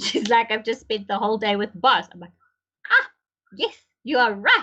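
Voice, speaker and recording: The pace is moderate. A woman is the one talking. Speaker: podcast host. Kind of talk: casual chat. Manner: loud.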